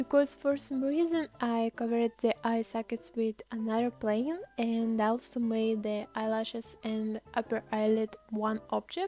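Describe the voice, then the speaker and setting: A woman's fairly high voice with a non-native accent, fairly slow and with hardly any pauses, ordinary pitch variation, dry and close with no echo, music in the background. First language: not English. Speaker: digital artist and YouTuber. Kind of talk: tutorial narration.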